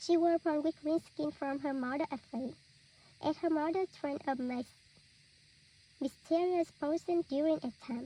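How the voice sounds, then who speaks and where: A woman with a high pitch and a dark, mellow tone speaks at a moderate pace with fairly even intonation. Long, frequent pauses break her speech, and the sound is dry and close with no echo. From Vietnam. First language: Vietnamese. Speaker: student. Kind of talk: reading aloud.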